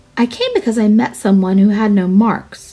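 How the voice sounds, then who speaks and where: Using a put-on character voice, a woman speaks at a moderate pace in a fairly high pitch. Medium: read story.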